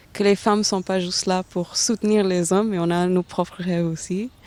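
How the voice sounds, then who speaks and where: A woman at medium pitch with fairly even intonation on a very clean recording with a silent background. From India, Delhi. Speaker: aerospace engineer. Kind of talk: interview. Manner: halting, many hesitations.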